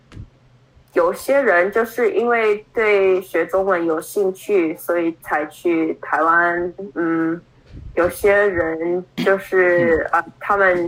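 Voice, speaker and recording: With an English accent, a woman speaks very slowly at a fairly low pitch, keeping her loudness very even and her intonation fairly even. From Brooklyn, New York, US. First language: English (speaking Chinese). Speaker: Chinese learner, adoptee. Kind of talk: interview. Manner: halting, many fillers.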